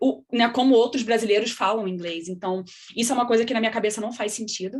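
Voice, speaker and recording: Using a plain, everyday voice, a woman talks at a fairly quick pace and fairly high pitch with fairly even intonation. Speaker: scientist. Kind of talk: panel discussion.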